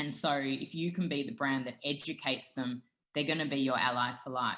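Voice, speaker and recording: A woman with an Australian accent speaks at a moderate pace. Her pitch is very deep and low, with ordinary pitch variation. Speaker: dietitian and food brand founder. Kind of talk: interview.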